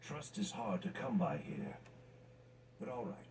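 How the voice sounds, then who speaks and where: A man's raspy, put-on character voice at a high pitch and moderate pace, over clear background noise. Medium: video game. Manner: tired, guarded.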